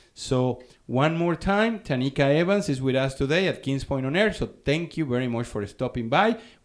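A man with a fairly high pitch and an ordinary speaking voice, at a moderate pace with hardly any pauses. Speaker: community radio host and social director. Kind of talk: radio interview. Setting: radio studio. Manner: friendly, upbeat.

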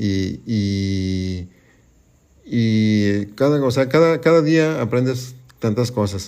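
Speaking very slowly, a man uses a dark, mellow tone at a medium pitch with ordinary pitch variation. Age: 50s. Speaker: guest's father. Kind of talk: casual family conversation. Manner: halting.

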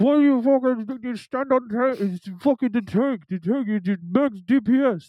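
Shouting in a put-on character voice at a fairly high pitch, the speaker keeps a moderate pace with hardly any pauses. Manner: yelling, mocking.

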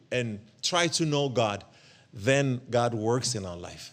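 Recorded very cleanly against a silent background, a man with a medium pitch speaks very slowly with lively intonation. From Ethiopia. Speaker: guest preacher. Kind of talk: sermon. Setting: church. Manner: halting, many fillers and repetitions.

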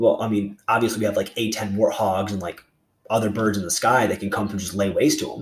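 This man talks at a very fast pace, his somewhat breathy voice pitched fairly low with fairly even intonation. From North Carolina. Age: 20s. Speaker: student heading into the Marine Corps. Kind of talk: casual interview.

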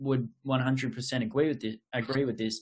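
Speaking at a fairly slow pace, a man with an Australian accent holds a medium pitch. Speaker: podcast host. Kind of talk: casual interview chat. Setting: online call.

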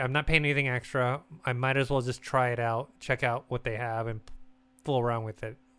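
A man's medium-pitched voice with an American accent, bright and sharp in tone, fairly even in intonation and fairly quick in pace. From United States. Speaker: gaming podcast host. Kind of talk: casual chat.

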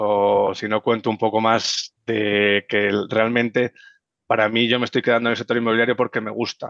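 A man with a Madrid accent speaks at a moderate pace in a monotone, flat delivery. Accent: Castilian Spanish (Madrid). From Madrid, Spain. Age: 20s. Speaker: real estate investor. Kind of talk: interview.

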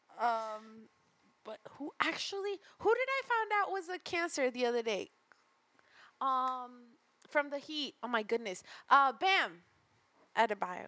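The voice is raised and projected, with a bright, sharp tone, very wide pitch swings, a fairly slow pace and long, frequent pauses. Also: woman, high pitch for a woman. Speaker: podcast host. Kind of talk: casual chat.

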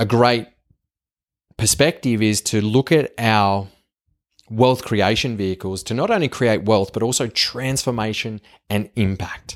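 A man with a strong Australian accent speaks at a medium pitch in an animated tone, fairly slowly, with ordinary pitch variation and long, frequent pauses. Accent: strong broad Australian. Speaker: podcast host. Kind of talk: solo monologue. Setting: home kitchen.

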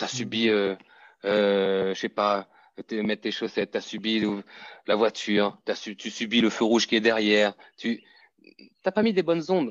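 In a dry, close recording with no echo and a quiet background, a man speaks at a medium pitch and a fairly slow pace with ordinary pitch variation. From Martinique. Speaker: fitness coach. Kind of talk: interview conversation.

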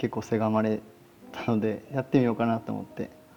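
The man's pitch is medium. He talks at a fairly quick pace. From Osaka, Japan. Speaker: podcast host, Japanese teacher. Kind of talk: casual solo talk. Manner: halting, many fillers.

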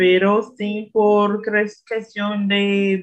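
A woman speaks at a medium pitch with a Brazilian accent. Her pace is very slow. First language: Portuguese (speaking Spanish). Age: 20s. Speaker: language learner. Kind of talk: casual chat.

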